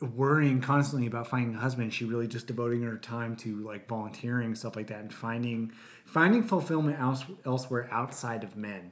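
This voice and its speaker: With a normal speaking voice, a man talks at a fairly quick pace in a medium pitch and fairly even intonation. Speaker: podcast host. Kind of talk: casual chat. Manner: joking, playful.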